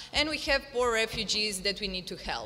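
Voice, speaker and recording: In a Croatian accent, a woman speaks at fairly high pitch with ordinary pitch variation and a bright, sharp tone. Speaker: activist and volunteer; panelist. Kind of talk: panel discussion. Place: hall. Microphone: podium.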